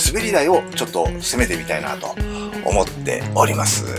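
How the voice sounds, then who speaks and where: A man with very wide pitch swings over clear music in the background. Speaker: professional bass player. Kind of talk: casual talk to camera. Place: home room.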